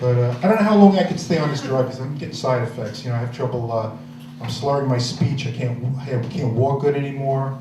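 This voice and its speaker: A man with an American accent at medium pitch, fairly quick pace and ordinary pitch variation, with audible room echo and noticeable background noise. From New York. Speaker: stand-up comedian. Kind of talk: stand-up. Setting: stage with audience. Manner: halting.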